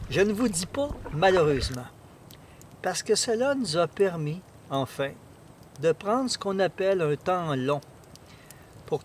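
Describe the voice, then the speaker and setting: A high-pitched man talks at a fairly slow pace with lively intonation. He leaves long, frequent pauses. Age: 60s. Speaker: canoe traveller. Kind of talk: casual chat. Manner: halting.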